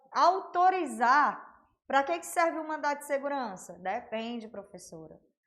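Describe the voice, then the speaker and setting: A woman talks with lively intonation at a high pitch. Audible room echo surrounds her voice. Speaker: law teacher. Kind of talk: online lecture. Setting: livestream. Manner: casual, conversational.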